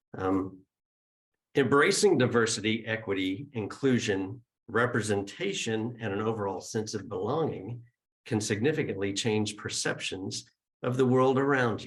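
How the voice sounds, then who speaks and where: The speaker's voice is somewhat breathy, with ordinary pitch variation. The pace is moderate. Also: man, medium pitch for a man. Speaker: spiritual center leader opening the service. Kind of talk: service announcements and opening remarks. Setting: gathering with live audience and Zoom viewers.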